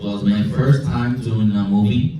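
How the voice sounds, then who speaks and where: Amid noticeable background noise and audible room echo, a man with a medium pitch talks at a fairly slow pace with lively intonation. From Brazil. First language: Portuguese. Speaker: film composer. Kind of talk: Q&A after a film screening.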